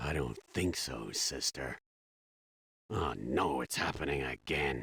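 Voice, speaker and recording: A man puts on a character voice with very deep, low pitch and ordinary pitch variation. He talks at a fairly slow pace in a dry, close sound with no echo. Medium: video game.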